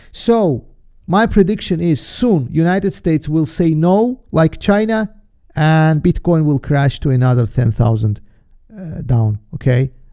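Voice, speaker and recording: With a non-native accent, a man talks at a fairly slow pace. His pitch is fairly high and swings very widely. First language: not English. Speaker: trader and market analyst hosting a webinar. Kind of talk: live webinar presentation. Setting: live stream. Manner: halting, with many fillers and restarts.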